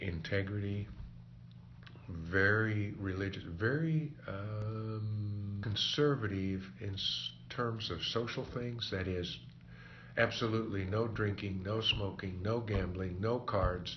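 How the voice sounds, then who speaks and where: A man with an American accent talks at a very slow pace. His pitch is fairly low, and there is audible room echo. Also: ordinary pitch variation. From Kansas. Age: 70s. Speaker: oral history interviewee. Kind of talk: oral history interview.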